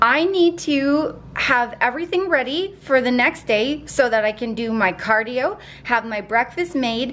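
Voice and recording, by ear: A woman speaks at a fairly slow pace. She pauses only a few times. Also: fairly high pitch for a woman, ordinary pitch variation, fairly bright tone.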